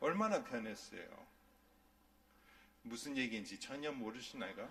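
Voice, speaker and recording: A man with a non-native accent talks at a moderate pace amid noticeable background noise and audible room echo. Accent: non-native Korean. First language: English (speaking Korean). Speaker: pastor. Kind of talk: sermon. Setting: church.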